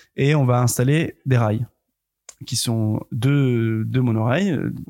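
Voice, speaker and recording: A man speaks at a medium pitch. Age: 20s. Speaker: film grip. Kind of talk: casual chat. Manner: halting.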